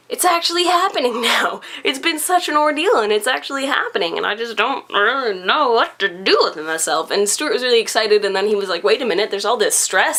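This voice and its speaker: A woman talks at a very fast pace with a fairly high pitch, an animated tone and very wide pitch swings, against noticeable background noise. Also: hardly any pauses. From Canada. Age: young. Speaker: vlogger. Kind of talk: casual chat.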